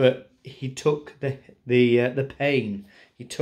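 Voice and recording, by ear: Intonation stays fairly even. The delivery is reading aloud in a natural voice.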